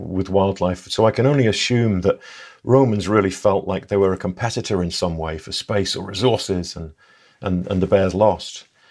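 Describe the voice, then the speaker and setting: Here a man talks in an English accent at a fairly quick pace. His voice is fairly low, with ordinary pitch variation. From England. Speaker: conservation ecologist. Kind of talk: casual interview.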